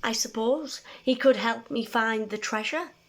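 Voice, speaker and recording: A put-on character voice at a moderate pace. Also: woman, fairly high pitch for a woman. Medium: read story.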